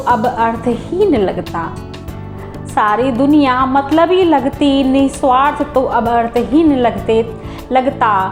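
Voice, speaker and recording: Music plays in the background as a woman speaks. Her pitch is high, with ordinary pitch variation. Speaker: poetry reciter. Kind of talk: poetry reading. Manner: emotional, sorrowful.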